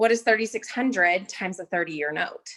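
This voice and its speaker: This woman speaks at a very fast pace. Her intonation is lively. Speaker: real estate agent. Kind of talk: business training call.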